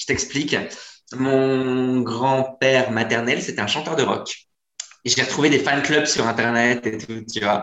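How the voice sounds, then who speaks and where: This man speaks at a fairly slow pace with medium pitch. His intonation stays fairly even. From northern France. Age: 30s. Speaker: comedian. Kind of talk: casual chat. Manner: halting.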